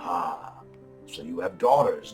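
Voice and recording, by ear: Growling in a put-on character voice at a low-to-middle pitch, the speaker goes at a fairly slow pace while clear music plays in the background.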